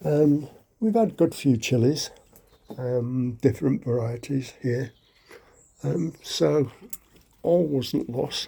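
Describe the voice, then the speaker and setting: Very slow and marked by long, frequent pauses, a man's somewhat breathy voice has a dark, mellow tone, medium pitch and ordinary pitch variation. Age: 70s. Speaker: allotment gardener. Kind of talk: casual walkthrough vlog. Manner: hesitant, many fillers.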